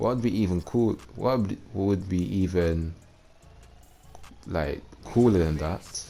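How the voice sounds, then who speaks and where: A man with a very deep, low pitch talks at a very slow pace with long, frequent pauses and ordinary pitch variation. Music plays in the background. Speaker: gaming youtuber. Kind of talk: casual gameplay commentary. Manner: halting.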